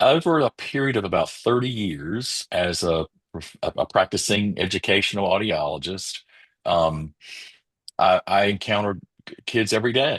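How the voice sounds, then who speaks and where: A man with a North Carolina accent, fairly low in pitch and lively in intonation, at a moderate pace over a quiet background. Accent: US Southern (North Carolina). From rural eastern North Carolina. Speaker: educational audiologist. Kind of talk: interview.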